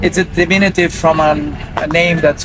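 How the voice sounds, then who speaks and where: A man speaks over noticeable background noise. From Romania. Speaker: market vendor. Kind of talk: casual chat. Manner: halting.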